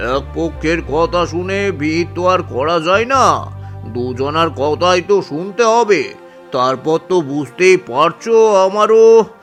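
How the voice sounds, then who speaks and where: A man's cartoonish character voice at a high pitch and moderate pace, with clear music in the background. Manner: smooth, sly.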